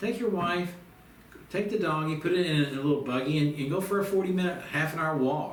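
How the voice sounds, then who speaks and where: A man's fairly high-pitched voice with ordinary pitch variation and audible room echo. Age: 60s. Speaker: self-help course teacher. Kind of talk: instructional monologue. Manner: casual, folksy.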